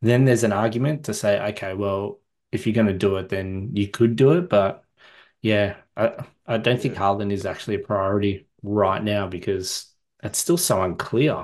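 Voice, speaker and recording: A man speaks with an Australian accent at a fairly low pitch. His pitch variation is ordinary, and the background is quiet. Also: moderate pace. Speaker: fantasy football podcast host. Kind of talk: casual chat.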